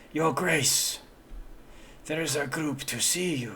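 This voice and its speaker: A raspy, put-on character voice from a man, fairly high in pitch and fairly slow, over clear background noise. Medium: actual play. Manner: formal, hesitant.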